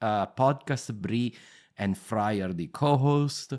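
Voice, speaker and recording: In a strong Italian accent, the speaker shows ordinary pitch variation on a very clean recording with a silent background. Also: man. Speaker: history podcast host. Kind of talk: interview. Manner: halting.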